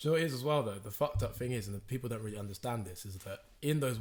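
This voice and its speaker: A man talks at a very fast pace in a somewhat breathy voice. His pitch is medium, with ordinary variation. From England, Oxford. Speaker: podcast host. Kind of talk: casual chat.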